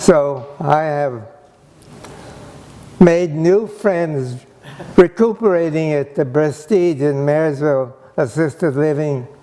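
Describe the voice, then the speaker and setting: Amid noticeable background noise, a man speaks very slowly at a fairly high pitch with ordinary pitch variation and long, frequent pauses. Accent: American. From US West, Gridley, California. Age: 80s+. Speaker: internment survivor and speaker. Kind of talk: personal testimony talk.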